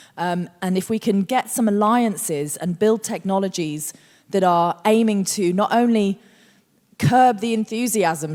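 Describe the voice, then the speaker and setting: A woman's animated, medium-pitched voice with a non-native accent, ordinary pitch variation, and a very clean recording over a silent background. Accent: non-Australian accent, new Australian. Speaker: futurist and researcher. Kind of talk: onstage conversation.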